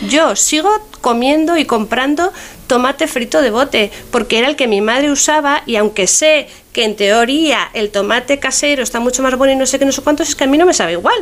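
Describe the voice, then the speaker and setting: A woman's high voice with lively intonation, very even loudness, a fairly quick pace and noticeable background noise. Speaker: food historian. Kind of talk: radio interview. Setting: radio show.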